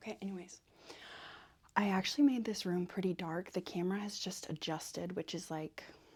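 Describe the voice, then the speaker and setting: The soft-spoken, somewhat breathy voice moves at a fairly quick pace with ordinary pitch variation and big swings in loudness. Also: woman, medium pitch for a woman. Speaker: ASMR creator. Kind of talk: ASMR soft-spoken chat.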